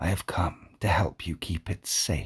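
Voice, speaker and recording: The speaker uses a put-on character voice in a whisper. There is a hissing quality throughout. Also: man. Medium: read story. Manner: calm, measured.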